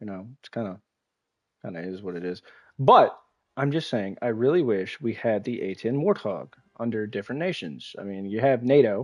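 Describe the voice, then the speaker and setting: With an American accent, a normal speaking voice moves at a moderate pace with lively intonation and big swings in loudness. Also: man, medium pitch for a man. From United States. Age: 20s. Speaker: gaming streamer. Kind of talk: live gameplay stream chat.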